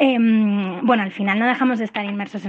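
Her intonation fairly even, a woman speaks very fast. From Madrid, Spain. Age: 30s. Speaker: listener. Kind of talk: recorded voicemail question. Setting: voicemail.

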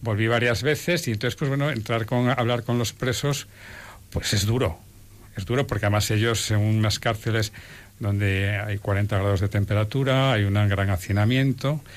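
In an unremarkable speaking voice, a man with a fairly low pitch talks at a moderate pace with ordinary pitch variation and very even loudness. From Spain. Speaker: lawyer and volunteer. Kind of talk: testimony.

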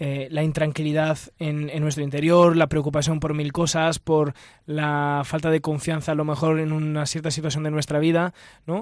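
A fairly high-pitched man at a moderate pace, in monotone, flat intonation. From Italy. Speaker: religious brother. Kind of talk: radio discussion. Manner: halting.

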